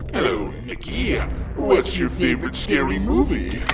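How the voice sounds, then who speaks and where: Over loud background noise, a man puts on a character voice at a moderate pace. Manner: menacing, playful.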